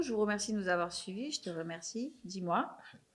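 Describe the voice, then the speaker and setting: Music plays in the background as a woman talks at a moderate pace. Her voice sits at a medium pitch, with lively intonation. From Marseille, southern France. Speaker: podcast host. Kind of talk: casual interview chat.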